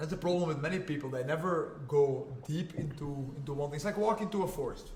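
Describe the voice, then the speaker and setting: A man with a Flemish Belgian accent talks at a very fast pace in an animated tone, fairly high in pitch. Noticeable background noise runs behind him. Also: ordinary pitch variation. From Belgium (Flanders). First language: Flemish (Dutch). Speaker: jiu-jitsu and MMA fighter. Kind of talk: podcast interview. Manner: animated, repetitive.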